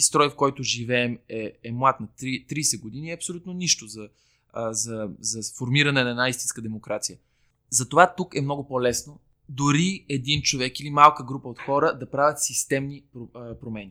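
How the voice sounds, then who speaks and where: Over a silent background in a very clean recording, a man with an unremarkable speaking voice talks at a medium pitch and moderate pace, with ordinary pitch variation and big swings in loudness. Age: 30s. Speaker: civic activist, NGO co-founder. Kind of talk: casual interview chat. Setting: recording in a bar, early Saturday morning.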